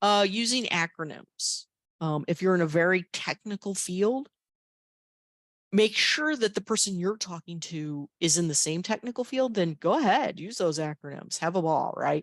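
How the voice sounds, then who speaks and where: Delivered at a moderate pace with lively intonation, the speech has an animated tone and a dry, close sound with no echo. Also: woman, medium pitch for a woman. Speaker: career workshop presenter. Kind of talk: workshop lecture.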